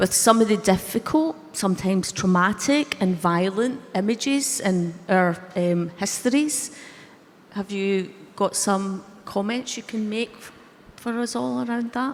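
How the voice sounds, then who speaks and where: A woman with a Scottish accent speaks fairly slowly at a medium pitch. Her intonation is lively and her loudness swings widely. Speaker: panel chair. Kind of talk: panel discussion.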